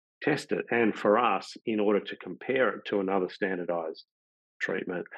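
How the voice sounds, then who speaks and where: At a fairly quick pace, a man with fairly low pitch speaks with an Australian accent and ordinary pitch variation. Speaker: pain science professor. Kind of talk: webinar presentation. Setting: video call.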